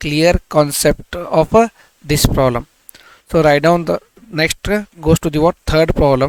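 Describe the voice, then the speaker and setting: A man with an Indian accent talks fairly slowly at a fairly high pitch, with fairly even intonation. The sound is dry and close, with no echo. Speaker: maths teacher. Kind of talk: tutorial.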